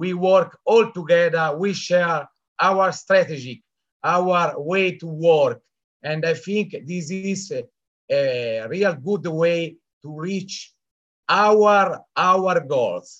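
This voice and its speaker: A man with a high-pitched voice speaks very slowly. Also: ordinary pitch variation. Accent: Italian. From Italy. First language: Italian. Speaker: event attendee, business team member. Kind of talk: testimony. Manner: halting.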